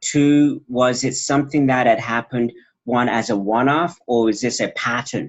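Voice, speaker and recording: Using an ordinary speaking voice, a man talks at medium pitch and a moderate pace. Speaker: doctoral graduate presenting dissertation research. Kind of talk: research presentation and Q&A.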